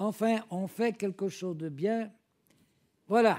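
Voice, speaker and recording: In a very clean recording with a silent background, a man with a high pitch and a dark, mellow tone talks at a fairly slow pace with fairly even intonation. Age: old. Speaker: preacher. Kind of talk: sermon. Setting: church.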